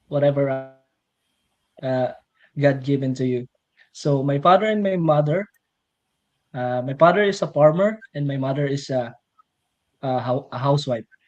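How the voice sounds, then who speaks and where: Someone with a Filipino accent talks at a moderate pace. The speech has long, frequent pauses. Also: man, fairly high pitch for a man, ordinary pitch variation. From Philippines, rural farming province. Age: 30s. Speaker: millwright mechanic, interview guest. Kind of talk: personal testimony in livestream interview. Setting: live stream. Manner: halting, many fillers.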